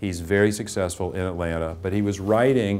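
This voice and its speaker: The man's voice is very deep and low. He keeps his intonation fairly even. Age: 60s. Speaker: English teacher. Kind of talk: testimonial interview.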